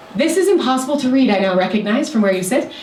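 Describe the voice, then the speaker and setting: A woman talks at a fairly high pitch, with audible room echo. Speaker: city sustainability official giving a talk. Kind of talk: presentation to a community meeting. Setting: meeting room with audience. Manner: fast.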